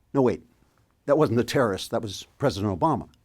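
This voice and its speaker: A man's voice with vocal fry, in a very clean recording with a silent background. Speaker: political commentator. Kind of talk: satirical commentary to camera with horror-narrator style.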